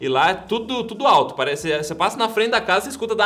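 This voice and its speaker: Over noticeable background noise, a high-pitched man talks very fast in a raised, projected voice with lively intonation. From Curitiba, Brazil. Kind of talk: interview answer.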